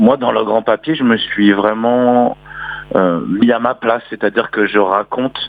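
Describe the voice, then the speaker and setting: Speaking at a moderate pace with fairly even intonation, a man with a medium-pitched voice is heard over noticeable background noise. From Normandy, France. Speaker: singer and poet. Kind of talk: radio interview. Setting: phone call. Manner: swallows words.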